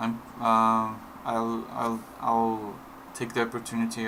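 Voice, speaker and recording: Amid noticeable background noise and audible room echo, a medium-pitched man with a non-native accent speaks in monotone, flat intonation. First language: not English. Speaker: indie game developer. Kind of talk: tutorial. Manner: halting, many fillers and repetitions; slow.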